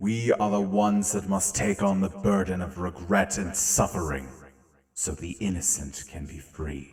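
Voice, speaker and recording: Here is a put-on character voice. It moves at a moderate pace. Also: man, very deep, low pitch for a man. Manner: commanding, stern.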